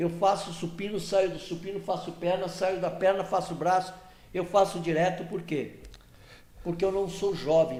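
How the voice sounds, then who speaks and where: A man speaks at a high pitch and a moderate pace, with audible room echo. His intonation is monotone and flat. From Santos, São Paulo coast, Brazil. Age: 70s. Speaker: regional political association executive. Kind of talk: podcast interview, casual chat.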